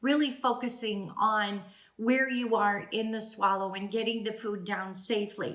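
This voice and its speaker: Speaking at a fairly slow pace, a woman with a fairly high pitch is heard with audible room echo. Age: 60s. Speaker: speech-language pathologist. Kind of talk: educational talk. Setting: at home.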